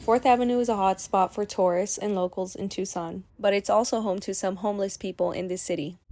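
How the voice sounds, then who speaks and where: An unremarkable speaking voice moves at a fairly quick pace with fairly even intonation and hardly any pauses. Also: woman, medium pitch for a woman. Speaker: student reporter. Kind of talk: TV news report.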